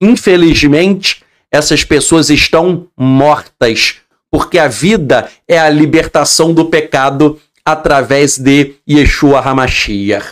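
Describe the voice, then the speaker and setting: A man with fairly high pitch, ordinary pitch variation, a very slow pace, very even loudness, and a quiet background. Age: 40s. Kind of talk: religious Torah study lecture. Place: home room. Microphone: studio mic.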